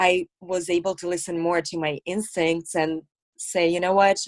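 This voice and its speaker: A woman with a slight Russian accent speaks at a fairly slow pace, her pitch fairly low and her intonation monotone and flat. The sound is dry and close, with no echo. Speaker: actress, model and comedian. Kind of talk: casual interview chat.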